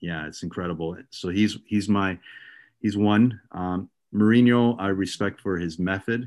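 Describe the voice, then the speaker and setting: A man speaks at a fairly slow pace in an ordinary speaking voice, fairly low in pitch with fairly even intonation, against a quiet background. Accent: Canadian. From Ontario, Canada. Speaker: youth soccer director and coach. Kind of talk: casual interview.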